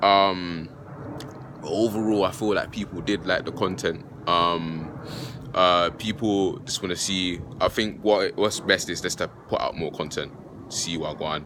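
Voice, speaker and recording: A man's very deep, low voice, fairly slow and fairly even in intonation, with noticeable background noise. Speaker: philosophy YouTuber. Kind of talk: casual vlog talk. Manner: halting, many fillers.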